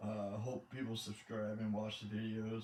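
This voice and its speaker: A somewhat breathy man's voice at medium pitch. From Michigan, US. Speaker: gaming YouTuber, truck driver. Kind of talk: gameplay commentary. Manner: halting, awkward pauses.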